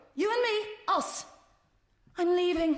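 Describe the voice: Doing a put-on character voice, a woman speaks slowly at an extremely high pitch with lively intonation.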